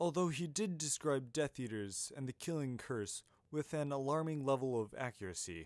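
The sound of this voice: An unforced reading voice carries the text.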